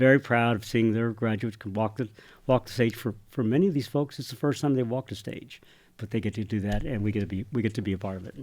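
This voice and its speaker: A man with an American accent speaks at a very fast pace. His pitch is medium, with ordinary variation. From San Antonio, Texas. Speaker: nonprofit CEO. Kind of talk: interview. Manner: halting, with fillers and repeats.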